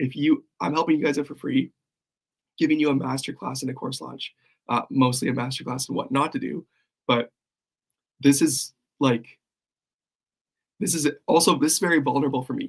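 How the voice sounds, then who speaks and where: A man speaks at a fairly high pitch with vocal fry and ordinary pitch variation. He leaves long, frequent pauses. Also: moderate pace. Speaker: copywriting coach. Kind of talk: livestream. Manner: casual, halting.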